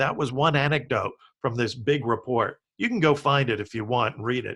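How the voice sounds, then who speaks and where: A man speaks in a plain, everyday voice, keeping a medium pitch, a moderate pace and ordinary pitch variation. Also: quiet background. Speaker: business futurist. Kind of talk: interview.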